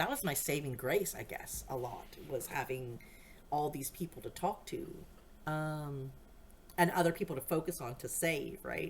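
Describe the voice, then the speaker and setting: A woman speaks with an American accent. Her intonation is lively and her pace moderate. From USA, various states. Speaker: podcast host. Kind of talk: personal monologue. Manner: rambling, self-interrupting.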